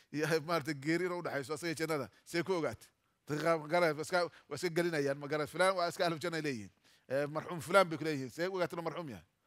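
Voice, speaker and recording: A very fast, fairly high-pitched man with fairly even intonation over a quiet background. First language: Somali (speaking Arabic). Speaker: Islamic preacher teaching Quran exegesis. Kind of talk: Quran tafsir lecture. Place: hall. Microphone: headset.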